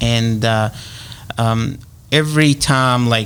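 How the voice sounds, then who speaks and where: A man speaks over noticeable background noise. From Egypt. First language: Arabic. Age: 30s. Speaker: realtor. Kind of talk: radio interview. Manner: halting, many fillers.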